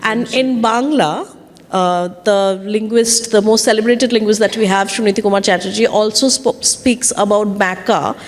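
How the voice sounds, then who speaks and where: In a Bengali accent, a woman speaks at a moderate pace and fairly high pitch, with very even loudness and fairly even intonation. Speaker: panel moderator. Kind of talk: panel discussion. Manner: halting, many fillers.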